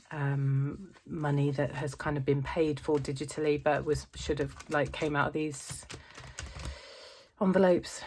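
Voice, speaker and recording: This woman speaks fairly slowly in a very deep, low voice with fairly even intonation. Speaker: family budgeting vlogger. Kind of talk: casual vlog talk to camera. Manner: hesitant, many fillers.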